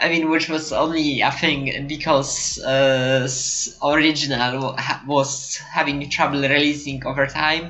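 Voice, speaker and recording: Over noticeable background noise, a woman with a non-native accent and a very deep, low pitch speaks at a fairly slow pace in a monotone, flat intonation with hardly any pauses. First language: not English. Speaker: card game podcast host. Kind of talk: casual chat. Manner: halting, many fillers and restarts.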